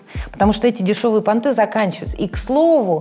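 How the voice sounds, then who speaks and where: Against noticeable background noise, a woman with a fairly high pitch lets her voice make very wide pitch swings. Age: 30s. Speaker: instagram blogger and journalist. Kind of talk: casual chat.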